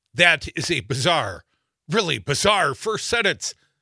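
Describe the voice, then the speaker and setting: A man speaks at a fairly slow pace with a bright, sharp tone, vocal fry and very wide pitch swings. The sound is dry and close with no echo, in a very clean recording with a silent background. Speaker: radio host. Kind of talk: live political talk radio banter. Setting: radio studio. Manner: animated, joking, laughs often.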